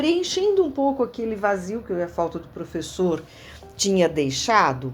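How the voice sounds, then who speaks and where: Over music in the background, a woman talks at a fairly slow pace and a medium pitch, her pitch swinging very widely. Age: 60s. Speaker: former student of the school. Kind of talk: interview reminiscence. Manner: halting, with fillers and repetitions.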